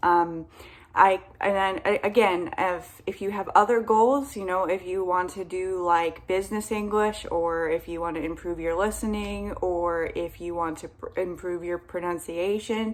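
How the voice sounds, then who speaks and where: In an ordinary speaking voice, a woman with an American accent speaks at a medium pitch and a fairly slow pace. Her intonation is fairly even, with hardly any pauses. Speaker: English teacher. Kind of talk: casual talk to camera. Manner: friendly, encouraging.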